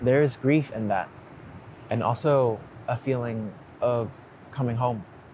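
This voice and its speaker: A man with an American accent speaks at a medium pitch and a fairly slow pace, with long, frequent pauses. His tone is calm and his intonation fairly even. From United States, immigrated from a Cantonese-speaking place at ten. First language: Cantonese. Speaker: writer and creator of a letter series. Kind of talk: reflective personal narration. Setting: outdoors on a beach at dawn. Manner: slow and calm.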